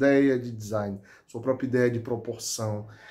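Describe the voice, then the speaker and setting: A man speaks against a quiet background. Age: 40s. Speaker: high school teacher and hobby knifemaker. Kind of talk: testimonial; testimonial, casual direct-to-camera talk. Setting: home workshop. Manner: halting. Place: workshop.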